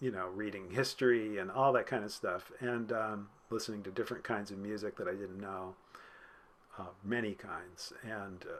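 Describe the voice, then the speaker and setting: Fairly low in pitch, a man speaks with an ordinary speaking voice at a moderate pace and fairly even intonation. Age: 60s. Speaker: music professor, department chair. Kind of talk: casual chat.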